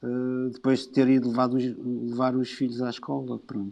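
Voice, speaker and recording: A man with a dark, mellow tone speaks at medium pitch and a fairly slow pace against a quiet background. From Portugal, Lisbon. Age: 50s. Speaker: musician and designer. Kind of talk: casual chat. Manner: halting.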